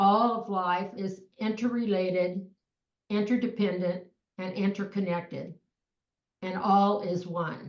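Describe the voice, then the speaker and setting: A woman speaks at a medium pitch and a very slow pace. Her intonation is monotone and flat. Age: 80s+. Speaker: peace dialogue group co-founder. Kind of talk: interview conversation.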